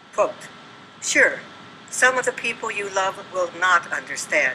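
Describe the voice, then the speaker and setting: Over noticeable background noise, a woman with a medium-pitched voice speaks at a fairly slow pace. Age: 80s+. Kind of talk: public comment speech at city council. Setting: council meeting room.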